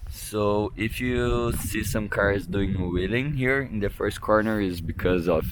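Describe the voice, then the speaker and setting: With a strong Brazilian accent, a man speaks at a fairly low pitch and a fairly slow pace, using lively intonation. Room echo is audible, and background noise is noticeable. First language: Portuguese. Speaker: drift racing driver. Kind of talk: vlog track walk explanation. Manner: halting.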